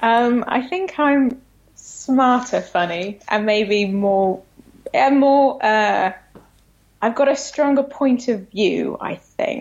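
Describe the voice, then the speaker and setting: In a British accent, a woman with a high pitch and ordinary pitch variation speaks at a very slow pace. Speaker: comedy writer. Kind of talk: casual chat. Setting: phone call.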